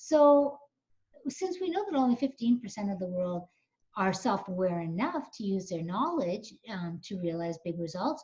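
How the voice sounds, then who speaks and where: A woman speaks at a medium pitch in a dark, mellow tone that is somewhat breathy. Her pitch swings very widely. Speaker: coach and webinar presenter. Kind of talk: webinar presentation. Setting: online webinar. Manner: fast.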